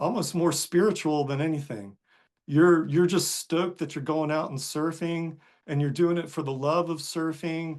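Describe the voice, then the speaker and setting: With an American accent and an unremarkable speaking voice, a man talks in a fairly high pitch and fairly even intonation against a quiet background. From US South, North Carolina coast. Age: 60s. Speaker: surfer and author. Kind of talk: podcast interview. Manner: casual, with many fillers.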